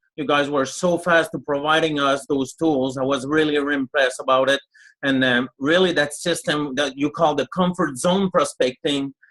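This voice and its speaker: A man speaks at a fairly high pitch and a moderate pace. His intonation is fairly even, and the sound is dry and close with no echo. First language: French. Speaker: network marketing leader. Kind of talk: webinar testimony.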